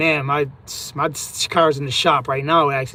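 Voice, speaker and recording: In a very clean recording with a silent background, a man speaks at a moderate pace with a fairly high pitch and monotone, flat intonation. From US, raised in Puerto Rican family. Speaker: livestreamer, trucker. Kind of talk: casual live stream chat.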